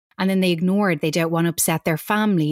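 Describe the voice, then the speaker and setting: A woman with an Irish accent, fairly low in pitch, with ordinary pitch variation and a dry, close sound with no echo. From Ireland. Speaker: author and coach. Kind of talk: interview chat.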